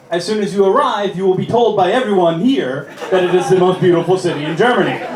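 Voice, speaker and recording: A man with an American accent talks fairly quickly in a high voice. Audible room echo and noticeable background noise fill the recording. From United States. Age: 30s. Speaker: comedian. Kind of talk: stand-up. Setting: stage with audience. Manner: animated.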